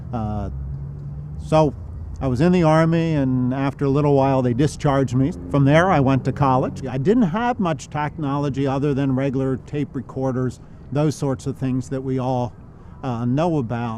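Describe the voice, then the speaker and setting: A man's medium-pitched, ordinary speaking voice, at a moderate pace with ordinary pitch variation. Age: 60s. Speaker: visually impaired army veteran. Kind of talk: interview testimony.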